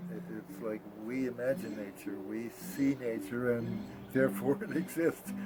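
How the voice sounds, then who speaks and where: A man talks at a moderate pace. Behind him sits noticeable background noise. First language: Polish. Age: 80s+. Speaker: travel writer and tarot author. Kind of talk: interview. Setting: his home basement. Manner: hesitant, with many fillers.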